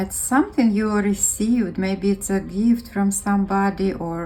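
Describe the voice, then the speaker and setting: Music can be heard behind the woman. Her pitch varies in an ordinary way. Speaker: tarot reader. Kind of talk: intuitive reading to camera. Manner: slow.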